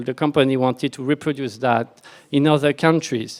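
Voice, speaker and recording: A man with a French accent talks at a moderate pace and a fairly high pitch. The recording is very clean, with a silent background. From France. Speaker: software architect, conference speaker. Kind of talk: conference talk.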